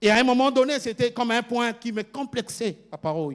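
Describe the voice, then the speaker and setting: A man speaks with a Congolese accent. His pace is moderate and his pitch variation ordinary. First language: Lingala (speaking French). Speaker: pastor. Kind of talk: sermon. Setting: church. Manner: halting, repeats words.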